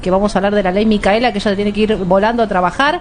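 Fairly even intonation is heard against noticeable background noise. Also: woman. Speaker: radio host. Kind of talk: talk radio interview. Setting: radio studio.

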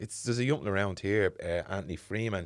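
A man talks at a very fast pace in a very deep, low voice. The recording is very clean, with a silent background. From Dublin inner city (the Liberties). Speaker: podcast host. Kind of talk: casual interview chat. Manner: animated, laughing.

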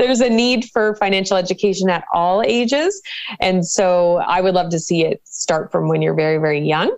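A woman speaks in an unremarkable speaking voice, her loudness very even and her pitch variation ordinary. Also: medium pitch for a woman, moderate pace. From Canada, Cole Harbour, Nova Scotia. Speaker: financial educator and professor. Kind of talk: interview.

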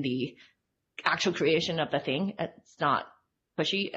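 A woman's very deep, low voice, somewhat breathy. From Hong Kong. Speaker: UX designer. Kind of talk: casual interview.

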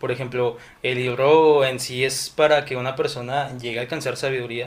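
Medium pitch from a man with fairly even intonation, against noticeable background noise. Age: 20s. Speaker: civil engineering student. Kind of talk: casual chat.

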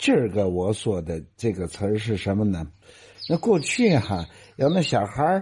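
Against a quiet background, a man speaks at a moderate pace in a somewhat breathy, fairly low voice with very wide pitch swings. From Tianjin, China. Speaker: radio host. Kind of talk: casual talk on dialect.

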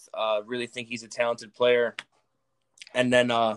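Monotone and flat, a man with an American accent speaks at medium pitch and a moderate pace. The sound is dry and close with no echo. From northern Illinois (Chicago suburbs). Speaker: college football player. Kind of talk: casual interview.

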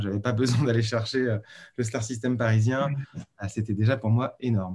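A man's unremarkable speaking voice at a medium pitch, with a moderate pace and fairly even intonation. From Paris region, France. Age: 40s. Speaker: freelance designer. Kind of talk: interview.

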